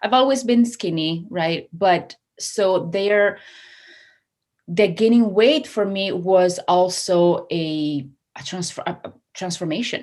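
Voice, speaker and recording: A woman with an Italian accent at medium pitch and a very slow pace, with ordinary pitch variation and a quiet background. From Italy, Treviso. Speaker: hypnotherapist and success coach. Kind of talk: casual interview chat. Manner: animated.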